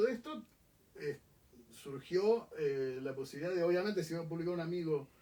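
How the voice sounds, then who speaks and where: Speaking at a fairly quick pace, a man with a high pitch uses lively intonation. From Argentina. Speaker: book publisher. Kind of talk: interview conversation. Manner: hesitant, many fillers.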